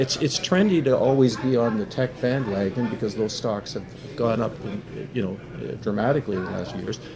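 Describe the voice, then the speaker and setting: A man talks at a fairly quick pace and medium pitch with ordinary pitch variation, over noticeable background noise. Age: 70s. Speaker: business writer. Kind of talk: casual chat.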